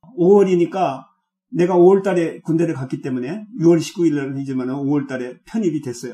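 A man with a Jeolla accent speaks at a moderate pace. His pitch is fairly high and his tone dark and mellow. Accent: Jeolla dialect Korean. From South Korea, South Jeolla (Haenam). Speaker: retired pastor and theology professor. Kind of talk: interview. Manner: halting, many fillers.

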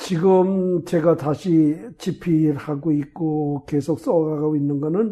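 Very slow and fairly high in pitch, a man speaks in a dark, mellow tone with ordinary pitch variation. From South Korea, Chungcheong (Chungju area). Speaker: retired pastor and theology lecturer. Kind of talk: interview, life story. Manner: hesitant, many fillers.

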